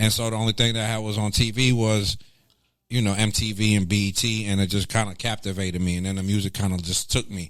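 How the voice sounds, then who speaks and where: A man with a fairly low pitch speaks in a flat monotone at a very fast pace. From Greensboro, North Carolina (moved from Lebanon at 8). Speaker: former radio personality, music executive. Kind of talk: casual interview.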